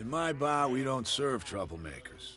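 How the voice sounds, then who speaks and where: A man does a raspy, put-on character voice at a medium pitch and a moderate pace. Background noise is clearly audible. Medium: video game. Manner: gruff, guarded.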